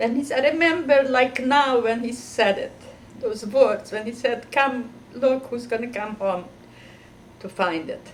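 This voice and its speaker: High in pitch, a woman talks fairly slowly with ordinary pitch variation. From Carpathian Ruthenia, Czechoslovakia (now Ukraine). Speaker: Holocaust survivor. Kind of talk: testimony. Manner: halting.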